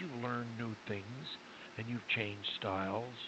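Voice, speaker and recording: This is a man with medium pitch. He uses a normal speaking voice. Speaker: speech coach. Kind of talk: coaching session.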